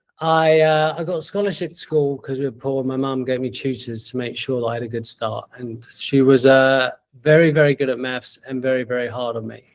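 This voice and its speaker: A man with a London accent talks at a fairly quick pace with hardly any pauses. His medium-pitched voice keeps a fairly even intonation. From East London, England. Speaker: entrepreneur. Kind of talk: interview. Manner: halting.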